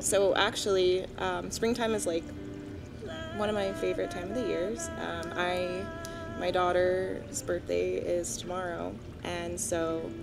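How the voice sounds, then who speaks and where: A woman speaks at a very slow pace. Music plays clearly in the background. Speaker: musician. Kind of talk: interview answer. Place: garden. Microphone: studio mic.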